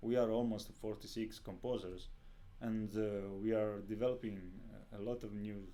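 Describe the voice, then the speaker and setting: A man's fairly low, dark, mellow voice in an Italian accent, with long, frequent pauses and audible room echo. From Italy. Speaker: composer. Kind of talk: interview. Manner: halting.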